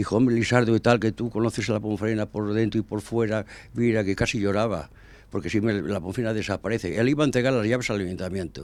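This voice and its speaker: On a very clean recording with a silent background, a man talks very fast at a fairly low pitch with fairly even intonation. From Spain, El Bierzo (León). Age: 80s+. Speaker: former football club president. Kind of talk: interview. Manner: halting.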